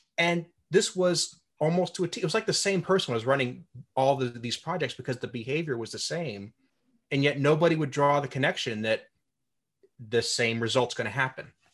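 A man speaks at a fairly quick pace with lively intonation and a somewhat breathy voice. The background is quiet. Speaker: podcast host. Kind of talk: interview.

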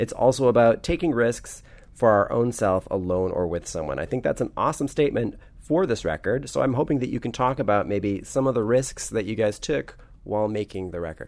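With lively intonation, a man speaks at a fairly quick pace in an ordinary speaking voice of medium pitch. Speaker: podcast host. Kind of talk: casual interview. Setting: hotel room.

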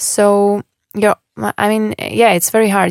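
A woman with a Russian accent and a medium pitch is captured in a very clean recording with a silent background, the sound dry and close with no echo. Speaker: former professional tennis player. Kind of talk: interview. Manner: halting.

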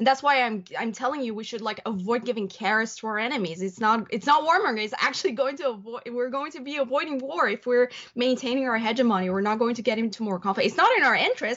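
Talking at a very fast pace, a woman barely pauses at all. Her pitch is high. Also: ordinary pitch variation. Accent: Persian. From Iran. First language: Persian. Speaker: columnist and journalist. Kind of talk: casual interview chat.

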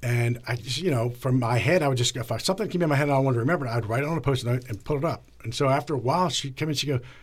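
A man's medium-pitched, somewhat breathy voice moves at a very fast pace with ordinary pitch variation, in a very clean recording with a silent background. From Northern Virginia, near Washington DC. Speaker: TV news anchor. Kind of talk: interview. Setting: studio.

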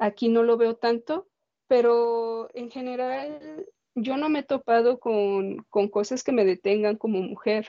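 A woman's fairly high voice moves very slowly, its pitch varying in an ordinary way. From Mexico, Guadalajara (Jalisco). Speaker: printmaker and visual artist. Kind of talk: interview conversation.

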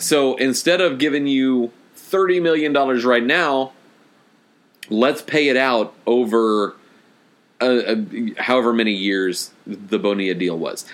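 Using a plain, everyday voice, a man talks at a fairly slow pace in a medium pitch with lively intonation. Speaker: podcast host. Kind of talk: casual banter.

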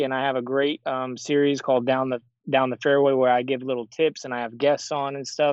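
An ordinary speaking voice with an American accent moves at a fairly quick pace. The intonation stays fairly even. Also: man. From Arizona. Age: 30s. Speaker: professional disc golfer. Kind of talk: interview.

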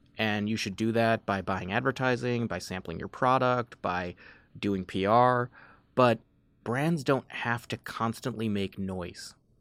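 Someone with an American accent speaks in an unremarkable speaking voice at a fairly slow pace, with ordinary pitch variation and a dry, close sound with no echo. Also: man, medium pitch for a man. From Chicago suburbs, US Midwest. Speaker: beverage company executive. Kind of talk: podcast interview.

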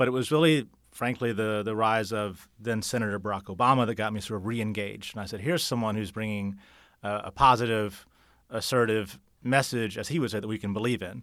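A man with an American accent has an ordinary speaking voice, fairly low in pitch with fairly even intonation. The recording is very clean, with a silent background. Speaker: political candidate. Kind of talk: podcast interview.

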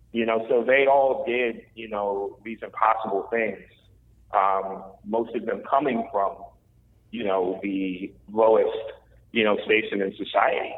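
With an American accent, a man talks at a fairly slow pace and medium pitch with fairly even intonation over noticeable background noise. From Washington, D.C. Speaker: author and journalist. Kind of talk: interview. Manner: halting, many fillers.

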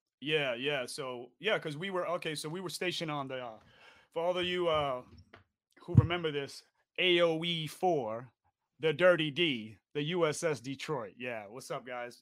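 A man with an American accent has a plain, everyday voice, fairly high in pitch, with ordinary pitch variation and big swings in loudness. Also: moderate pace. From New York, the Bronx. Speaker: podcast co-host, navy veteran. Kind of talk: casual chat. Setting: live stream.

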